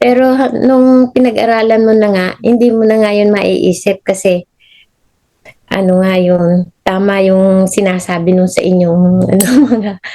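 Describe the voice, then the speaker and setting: A woman's medium-pitched voice, dark and mellow in tone, with very even loudness and fairly even intonation. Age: 70s. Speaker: retired nurse. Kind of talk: interview answer.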